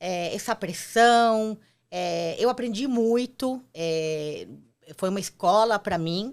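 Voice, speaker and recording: A woman at a very slow pace, medium pitch and ordinary pitch variation. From Argentina. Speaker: entrepreneur, former marketing executive. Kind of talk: interview.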